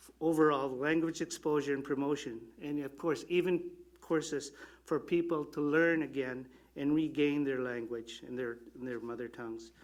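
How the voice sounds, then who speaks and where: This man's fairly high voice moves at a moderate pace with fairly even intonation. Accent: Filipino. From Canada, Yellowknife, Northwest Territories. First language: Filipino. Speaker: election candidate. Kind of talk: candidate forum answer.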